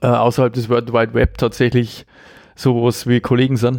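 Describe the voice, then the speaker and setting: With a Bavarian accent, a man talks at a moderate pace in a medium pitch. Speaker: podcast host. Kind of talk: casual chat.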